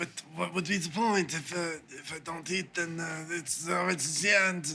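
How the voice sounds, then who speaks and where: In a put-on character voice, a man speaks at a moderate pace with a raspy, high pitch. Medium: actual play. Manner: halting, hesitant.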